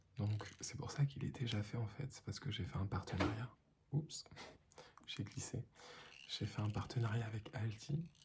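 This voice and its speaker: A man talks at a fairly slow pace in a calm tone. His voice is somewhat breathy. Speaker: ASMR content creator. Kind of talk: ASMR lo-fi relaxation talk to camera. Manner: soft-spoken, calm, slow.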